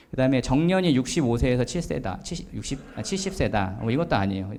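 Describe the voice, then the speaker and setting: A man talks very fast at a medium pitch, his dark, mellow tone swinging very widely in pitch. Audible room echo surrounds the voice. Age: 40s. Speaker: author giving a talk. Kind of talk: lecture. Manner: hesitant with many fillers.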